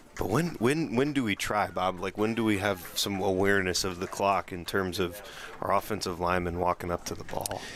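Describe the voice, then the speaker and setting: A man with a fairly low pitch speaks at a fairly quick pace, his pitch varying in an ordinary way. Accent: American. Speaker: color commentator. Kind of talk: live commentary. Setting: football stadium broadcast.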